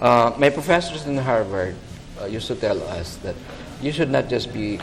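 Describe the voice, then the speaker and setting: A man's medium-pitched voice moves at a moderate pace with ordinary pitch variation, and there's noticeable noise in the background. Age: 60s. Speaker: architect. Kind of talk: TV interview.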